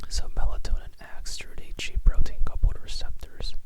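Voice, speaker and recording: At a moderate pace, a whispering voice comes through noticeable background noise. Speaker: ASMR tutor. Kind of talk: ASMR educational explanation. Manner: whispered, soft-spoken.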